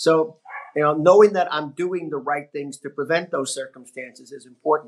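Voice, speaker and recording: A man talks in a plain, everyday voice. His pitch is fairly high, with ordinary pitch variation. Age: 60s. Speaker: network marketing business partner. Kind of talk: podcast interview.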